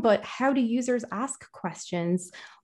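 Over a quiet background, a woman with an Irish accent talks at a moderate pace with ordinary pitch variation. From Ireland. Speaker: conversational AI engineer and linguist. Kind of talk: interview conversation.

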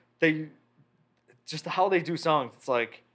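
The recording is very clean with a silent background, carrying a man who speaks with an American accent. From Chicago area, Illinois. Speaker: drummer. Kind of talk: casual chat.

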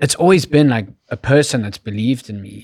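A man speaks with a South African accent. The recording is very clean, with a silent background. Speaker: creative director and YouTuber. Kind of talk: casual interview.

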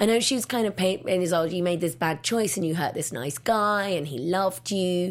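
A woman speaks at a medium pitch with an English accent. The recording is very clean, with a silent background. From England. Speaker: film critic. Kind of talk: casual chat.

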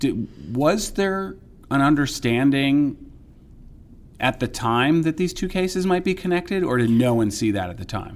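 With an American accent, a man in a fairly high pitch makes very wide pitch swings and takes long, frequent pauses. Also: moderate pace. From New York area, US. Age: 50s. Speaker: investigative reporter. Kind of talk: casual interview conversation.

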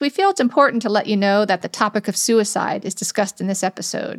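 In a very clean recording with a silent background and a dry, close sound free of echo, a woman with a normal speaking voice talks at a fairly high pitch and fairly quick pace with ordinary pitch variation. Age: 50s. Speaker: podcast host. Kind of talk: casual interview; scripted disclaimer.

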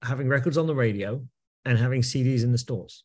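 Against a quiet background, a man with a medium pitch and a dark, mellow, somewhat breathy tone speaks at a moderate pace with ordinary pitch variation. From England. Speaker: music industry executive. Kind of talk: podcast interview.

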